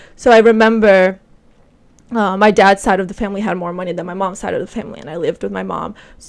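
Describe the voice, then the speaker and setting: A woman's very fast speech with a Portuguese accent, vocal fry, big swings in loudness and fairly even intonation. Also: medium pitch for a woman. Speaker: podcast host. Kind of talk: casual chat.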